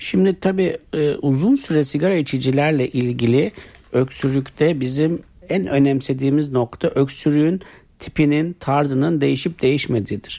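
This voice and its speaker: The voice has a dark, mellow tone, with very even loudness and a moderate pace. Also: man, fairly high pitch for a man, ordinary pitch variation. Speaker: internal medicine doctor. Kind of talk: radio health interview. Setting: radio studio. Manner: formal, explanatory.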